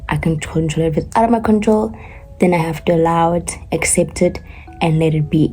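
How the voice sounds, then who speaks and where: Music plays in the background as a woman talks at a moderate pace, her fairly low voice showing ordinary pitch variation. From South Africa, Gauteng. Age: 20s. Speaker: artist, college student vlogger. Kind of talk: casual talk to camera.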